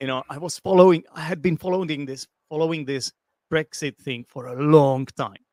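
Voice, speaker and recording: With a Czech accent, a man speaks at a moderate pace in a fairly high pitch with ordinary pitch variation and big swings in loudness, the sound dry and close with no echo. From Czech Republic. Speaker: English teacher and football fan. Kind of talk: casual chat.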